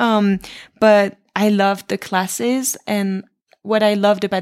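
In a French accent, a woman talks at a moderate pace and a medium pitch. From France. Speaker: professional dancer. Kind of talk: interview.

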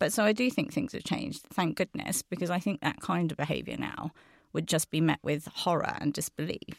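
A woman's fairly low voice with vocal fry, lively intonation and a fairly quick pace, in a dry, close sound with no echo. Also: very clean recording, silent background. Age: 40s. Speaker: agency chief executive. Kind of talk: panel discussion. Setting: studio.

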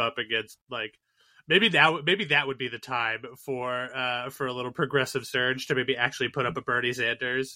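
A man talks at a fairly quick pace with an American accent. He has an ordinary speaking voice at a medium pitch. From Boston area. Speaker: podcast co-host. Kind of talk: casual chat.

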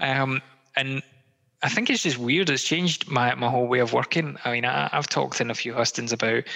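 This man speaks with a west of Scotland accent. His pace is moderate and his pitch is medium. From Scotland, Greenock near Glasgow. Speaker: political candidate. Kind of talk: interview. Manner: halting, many fillers.

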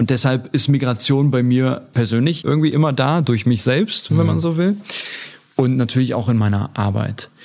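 A man speaks at a very even loudness. Noticeable background noise sits behind him. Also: medium pitch for a man, ordinary pitch variation, moderate pace. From Germany, Turkish guest-worker family. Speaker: politician. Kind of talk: interview.

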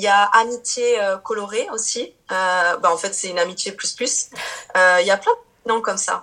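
Her bright, sharp tone sits at a medium pitch for a woman, with fairly even intonation. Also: moderate pace. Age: 30s. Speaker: Portuguese teacher and YouTuber. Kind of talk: casual interview. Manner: hesitant, many fillers.

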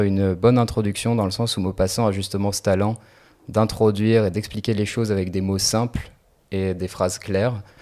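In a dark, mellow tone, a man speaks in a flat monotone at a fairly low pitch and a moderate pace. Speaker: medical student. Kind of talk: casual chat.

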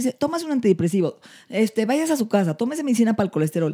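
In a dry, close sound with no echo, a woman with a dark, mellow, somewhat breathy tone speaks with very wide pitch swings. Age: 50s. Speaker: anti-aging medicine doctor. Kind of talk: casual chat.

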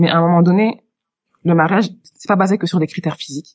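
Here a woman talks at a fairly quick pace. Her pitch is fairly low and her intonation fairly even. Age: 30s. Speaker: HR worker and marriage-help volunteer. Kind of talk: casual chat. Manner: hesitant with fillers.

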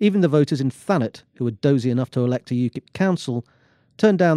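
Lively in intonation and dark, mellow in tone, a man talks at a very fast pace in a dry, close sound with no echo. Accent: English. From England. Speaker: business commentator and columnist. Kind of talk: reading aloud; casual discussion. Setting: studio.

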